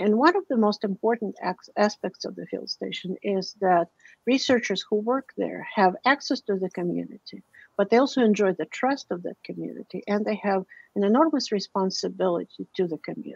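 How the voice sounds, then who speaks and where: At a fairly quick pace, a woman with a medium pitch and vocal fry speaks with lively intonation in a dry, close sound with no echo. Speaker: linguist, director of a university field station in Guatemala. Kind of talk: academic talk with slides.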